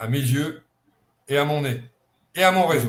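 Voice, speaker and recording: The voice is somewhat breathy, moving at a fairly slow pace with ordinary pitch variation. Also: man. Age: 70s. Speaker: football scout. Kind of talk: online conference interview.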